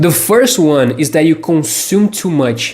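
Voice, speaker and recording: With music in the background, a man with a non-native accent speaks very slowly at a fairly high pitch, his pitch varying in an ordinary way. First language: not English. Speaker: English teacher. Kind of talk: motivational tutorial.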